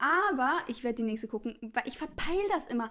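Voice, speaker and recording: A woman's raised, projected voice rings out high in pitch with a bright, sharp tone. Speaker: podcast co-host. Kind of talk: casual chat.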